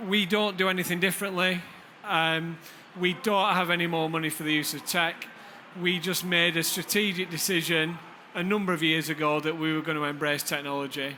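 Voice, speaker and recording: A man with a northern English accent, high in pitch and bright, sharp in tone, at a fairly quick pace with fairly even intonation and audible room echo. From Lancashire, northern England. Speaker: deputy head teacher. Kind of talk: conference presentation. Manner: hesitant fillers.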